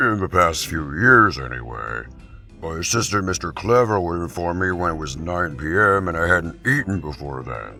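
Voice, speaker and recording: A man's raspy, put-on character voice at a very deep, low pitch and a moderate pace, with clear music in the background. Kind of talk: comic dub dialogue.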